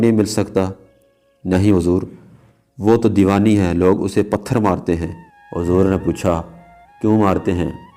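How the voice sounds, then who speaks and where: The intonation is monotone and flat. Music plays in the background. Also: man. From Azad Kashmir, Pakistan. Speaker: voice-over artist. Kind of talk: religious story narration.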